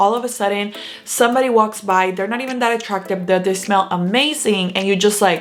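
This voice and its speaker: With noticeable background noise, a woman talks at a fairly quick pace in a medium pitch with ordinary pitch variation. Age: 30s. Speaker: lifestyle vlogger. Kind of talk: advice talk to camera. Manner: polished news-anchor style delivery.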